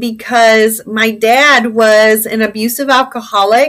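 This woman's high voice has a bright, sharp tone. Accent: Midwestern American. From Indiana, US Midwest. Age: 40s. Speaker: former teacher turned adult content creator. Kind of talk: interview conversation.

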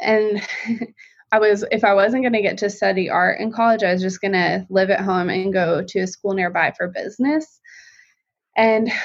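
A normal speaking voice moves at a moderate pace with ordinary pitch variation. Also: woman. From Colorado. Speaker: visual artist and stay-at-home mom. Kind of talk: casual interview chat.

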